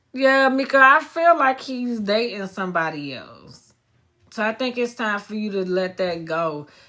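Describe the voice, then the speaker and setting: Loud and with a bright, sharp tone, a woman speaks with lively intonation in a very clean recording with a silent background. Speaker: psychic medium. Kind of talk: live stream reading. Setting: live stream.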